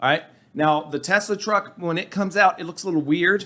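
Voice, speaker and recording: A man's high-pitched voice, bright and sharp in tone, at a fairly quick pace with ordinary pitch variation. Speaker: podcast co-host, investing commentator. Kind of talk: casual chat. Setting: studio.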